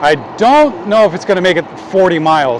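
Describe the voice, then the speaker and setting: Over noticeable background noise, a man speaks at a moderate pace with a high pitch. His intonation is lively. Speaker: bike shop employee / e-bike reviewer. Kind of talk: live ride-along vlog commentary. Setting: outdoors, riding a bike. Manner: hesitant, many fillers.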